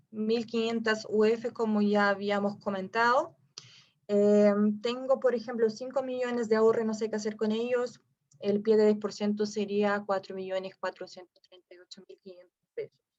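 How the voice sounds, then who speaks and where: A woman at fairly high pitch and a fairly slow pace, with big swings in loudness. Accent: slight non-native. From Brazil. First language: Portuguese (speaking Spanish). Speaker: real estate investment advisor. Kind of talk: webinar presentation. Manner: halting with fillers.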